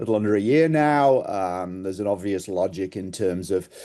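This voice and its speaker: Over a quiet background, a man with an English accent speaks fairly low, his tone dark and mellow. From England. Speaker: sales executive. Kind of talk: presentation. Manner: hesitant with fillers.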